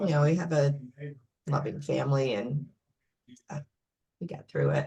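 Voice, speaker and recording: A woman talks with a very deep, low pitch and a somewhat breathy sound. Her pace is moderate and her intonation fairly even. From upstate New York. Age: 60s. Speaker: librarian. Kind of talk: personal interview. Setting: video call.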